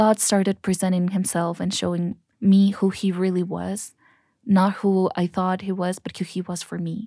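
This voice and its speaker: A woman with a dark, mellow tone and medium pitch speaks fairly slowly, recorded dry and close with no echo, very clean, with a silent background. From Mexico, Cancun. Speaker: guest, church youth leader. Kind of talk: interview testimony. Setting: studio.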